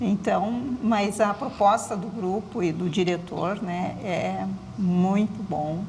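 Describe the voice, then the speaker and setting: At a very slow pace, a woman talks at medium pitch with fairly even intonation, with noticeable background noise and audible room echo. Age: 60s. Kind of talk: TV interview.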